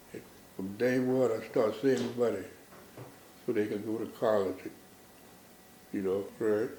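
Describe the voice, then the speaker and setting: Speaking at a moderate pace with long, frequent pauses, a man has a dark, mellow tone and fairly even intonation. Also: fairly low pitch for a man. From Valdosta, Georgia. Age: 80s+. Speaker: World War II veteran. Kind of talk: interview answer.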